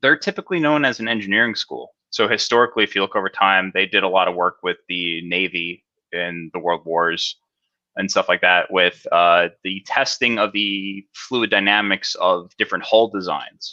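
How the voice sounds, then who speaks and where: Dry and close with no echo over a quiet background, a man speaks in a bright, sharp tone with a New Jersey accent. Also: fairly low pitch for a man, ordinary pitch variation, moderate pace. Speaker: cybersecurity specialist. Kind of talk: interview. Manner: casual, filler-heavy.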